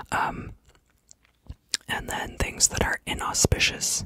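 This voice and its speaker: Someone whispers at a very slow pace. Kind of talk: ASMR whispered educational narration about astrology. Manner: whispering, soft-spoken.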